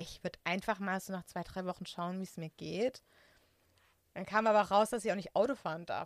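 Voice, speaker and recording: With a plain, everyday voice at medium pitch, a woman speaks at a fairly quick pace with big swings in loudness, and the sound is dry and close with no echo. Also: fairly even intonation. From Germany, Künzelsau area (Hohenlohe, Baden-Württemberg). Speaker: IT consultant. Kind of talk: casual personal interview.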